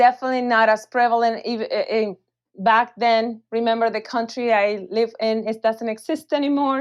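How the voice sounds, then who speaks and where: A woman with a Spanish accent talks at a moderate pace in a fairly high pitch. Her intonation is fairly even, and the background is quiet. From Venezuela. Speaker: physician, weight loss clinic director. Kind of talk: interview. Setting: podcast.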